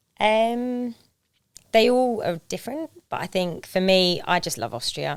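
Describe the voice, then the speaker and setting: Speaking with an English accent, a woman talks at a fairly slow pace. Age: 30s. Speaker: Paralympic skier turned police officer and financial planner. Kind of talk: podcast interview.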